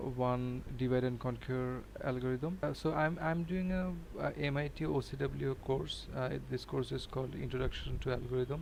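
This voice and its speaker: A man speaks with a non-native accent. He leaves hardly any pauses. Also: moderate pace. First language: not English. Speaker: programming learner and tutorial maker. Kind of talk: tutorial. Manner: halting, many fillers.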